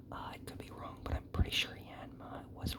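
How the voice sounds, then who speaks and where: Over noticeable background noise, a man whispers. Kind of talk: ASMR whispered talk while opening trading cards, rambling personal stories.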